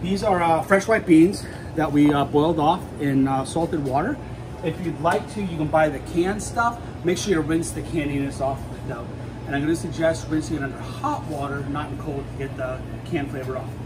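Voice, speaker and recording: At a fairly quick pace, a man speaks with ordinary pitch variation over noticeable background noise. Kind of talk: cooking tutorial. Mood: friendly, relaxed. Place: kitchen. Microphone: phone near.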